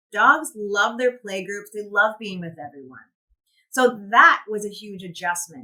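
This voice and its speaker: A woman's fairly high, bright and sharp voice at a fairly slow pace. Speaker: animal shelter worker. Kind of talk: conference presentation. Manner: loud.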